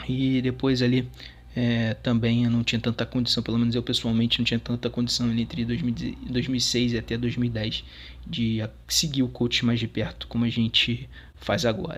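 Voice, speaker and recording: A man speaks at a medium pitch, his intonation monotone and flat. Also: very even loudness. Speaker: sports fan contributor. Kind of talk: recorded testimony.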